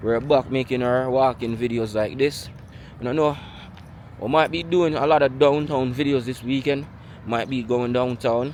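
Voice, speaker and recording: In a Jamaican accent, a man talks with medium pitch and fairly even intonation. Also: moderate pace. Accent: Jamaican Patois-inflected English. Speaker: vlogger. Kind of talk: walking vlog monologue.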